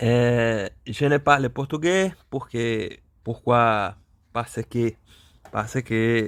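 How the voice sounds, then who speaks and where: A man's medium-pitched voice at a very slow pace, with ordinary pitch variation, on a very clean recording with a silent background. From Brazil. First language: Portuguese (speaking French). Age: 30s. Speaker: polyglot language learner vlogger. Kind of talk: language practice monologue. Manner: halting, many hesitations and repetitions.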